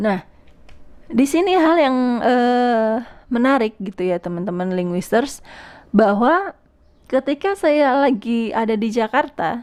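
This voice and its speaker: Over a silent background in a very clean recording, a woman speaks with lively intonation at a fairly high pitch. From Indonesia, Bekasi (West Java), Javanese family. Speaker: podcast host on language. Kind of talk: solo podcast talk. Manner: hesitant, many fillers.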